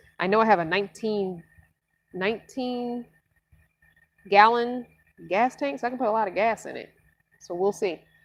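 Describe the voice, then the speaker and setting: At a moderate pace, a woman with a fairly high pitch and ordinary pitch variation speaks with big swings in loudness and long, frequent pauses. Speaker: van-dwelling vlogger. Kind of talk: live Q&A stream. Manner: casual, chatty.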